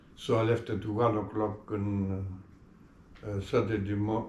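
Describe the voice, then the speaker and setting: A man with a Greek accent speaks at a fairly slow pace in a fairly low, somewhat breathy voice, his intonation monotone and flat, with long, frequent pauses and audible room echo. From Greece. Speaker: retired public servant. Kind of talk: interview. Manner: halting.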